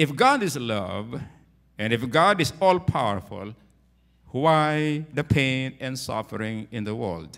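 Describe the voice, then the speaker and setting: The man talks at a very slow pace with a quiet background behind him. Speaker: pastor. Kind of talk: sermon. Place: church. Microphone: handheld.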